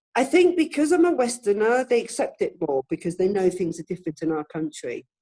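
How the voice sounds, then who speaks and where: A woman with a fairly high pitch speaks in a dark, mellow tone with very wide pitch swings. The sound is dry and close, with no echo. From UK, British. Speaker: motorcycle rider and adventure tour guide. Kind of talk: casual interview answer. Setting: video call interview.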